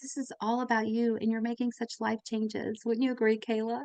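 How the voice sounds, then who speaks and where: A woman talks at a fairly quick pace with a fairly high pitch. The sound is dry and close, with no echo. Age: 50s. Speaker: nurse and podcast host. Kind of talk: live webinar chat. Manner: animated.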